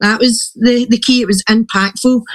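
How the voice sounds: A woman speaks in a fairly high pitch. Her intonation is fairly even. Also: moderate pace.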